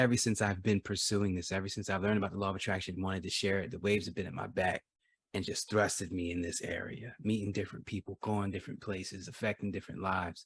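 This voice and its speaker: A man speaks at a very fast pace, somewhat breathy, with fairly even intonation, on a very clean recording with a silent background. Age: 30s. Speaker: motivational speaker. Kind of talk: casual chat.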